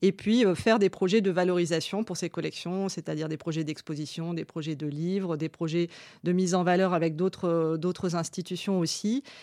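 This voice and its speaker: A woman speaks at a moderate pace in a fairly low pitch with a dark, mellow tone, on a very clean recording with a silent background. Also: fairly even intonation. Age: 30s. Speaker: museum curator and art historian. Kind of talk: interview monologue about her work. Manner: hesitant, with fillers and repeated words.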